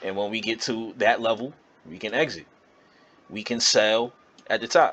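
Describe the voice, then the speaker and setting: A man's plain, everyday voice at medium pitch, moderate pace, ordinary pitch variation and big swings in loudness. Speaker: trading educator. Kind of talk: tutorial.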